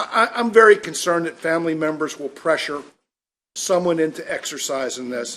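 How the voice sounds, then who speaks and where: Here is a man with an ordinary speaking voice and an American accent, talking at a moderate pace. His pitch is fairly high, with ordinary pitch variation. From Maryland, Elkton area. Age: 60s. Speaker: state legislator. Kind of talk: committee remarks.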